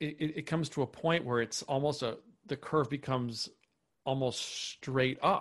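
The speaker has an American accent and talks at a moderate pace with fairly even intonation. The background is quiet. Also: man, fairly high pitch for a man. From US Upper Midwest, Minnesota. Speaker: author and poet. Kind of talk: casual interview chat. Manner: halting, many repeated words.

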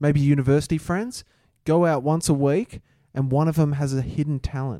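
This man has an Australian accent and a fairly high pitch, with ordinary pitch variation. He speaks at a moderate pace on a very clean recording with a silent background. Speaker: podcast co-host. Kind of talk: casual chat.

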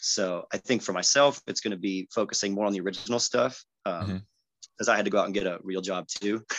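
With an American accent, a man speaks very fast with hardly any pauses and fairly even intonation, the sound dry and close with no echo. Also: fairly low pitch for a man. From San Diego, California (Chula Vista). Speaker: singer-songwriter. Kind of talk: casual interview chat.

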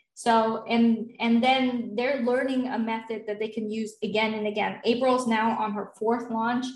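Her voice is fairly high and somewhat breathy. The woman speaks in a flat monotone. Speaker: online business founder and group sales coach. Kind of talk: interview.

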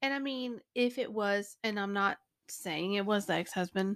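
In a plain, everyday voice, a woman speaks at a medium pitch and fairly slow pace, with ordinary pitch variation, in a very clean recording with a silent background. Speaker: podcast co-host. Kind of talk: casual chat, banter. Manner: chatty, laughing, interrupting playfully.

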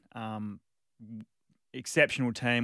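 The man's voice sounds dry and close with no echo, in a very clean recording with a silent background. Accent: Australian. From Western Australia, Margaret River. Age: 30s. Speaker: field hockey player, national team captain. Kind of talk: interview. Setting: studio.

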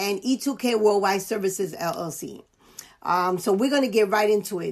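A woman speaks with a New York accent at a moderate pace. The background is quiet. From US Northeast (New York, the Bronx). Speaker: life coach and podcast host. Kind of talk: casual interview chat.

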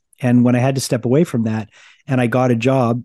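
His voice comes across as somewhat breathy. The speaker is a man at medium pitch. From Quebec, Canada. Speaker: radio DJ and rock singer. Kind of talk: casual interview chat. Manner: halting, frequent repetitions and fillers.

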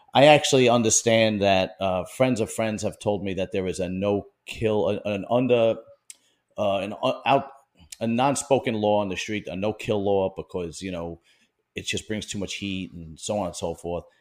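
With a Brooklyn accent and ordinary pitch variation, a man talks at a moderate pace in a very clean recording with a silent background. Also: fairly low pitch for a man. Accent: New York (Brooklyn). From Bensonhurst, Brooklyn, New York. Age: 40s. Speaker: podcast interviewer. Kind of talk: casual interview chat.

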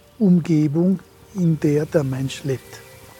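This man's pitch varies in an ordinary way against noticeable background noise. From Ladin region, Dolomites. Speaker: philologist. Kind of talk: interview explanation.

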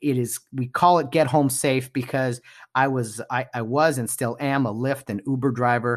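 A man with an American accent, medium pitch and fairly even intonation at a moderate pace, a plain, everyday voice over a quiet background. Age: 30s.

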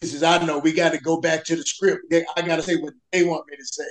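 A man's high-pitched voice at a moderate pace. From US South. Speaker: superfan of an NFL team. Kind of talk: casual interview.

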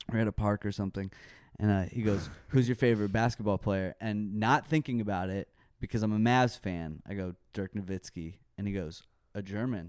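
With a quiet background and a dry, close sound with no echo, a man talks at a fairly quick pace in a plain, everyday voice. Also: fairly low pitch for a man, ordinary pitch variation. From Texas, Dallas. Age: 30s. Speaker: metal band musician. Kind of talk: casual chat. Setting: studio.

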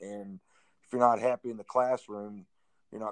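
Flat and monotone, a man speaks in a dry, close sound with no echo. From Missouri, Springfield. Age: 50s. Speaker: high school basketball coach. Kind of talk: interview. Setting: phone call.

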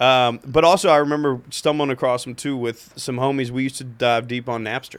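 In an unremarkable speaking voice, a man with an American accent talks at a fairly quick pace. His pitch is medium, with fairly even intonation. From Cincinnati, Ohio. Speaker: comedian. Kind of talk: casual chat.

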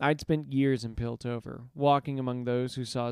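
With fairly even intonation, the voice reads in an unforced way.

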